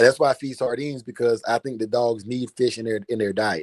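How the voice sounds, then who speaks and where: A man with an American accent speaks at a fairly quick pace and a medium pitch. His intonation is fairly even, and the sound is dry and close with no echo. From southeastern North Carolina. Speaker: live stream host, dog breeder. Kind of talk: casual chat. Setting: live stream.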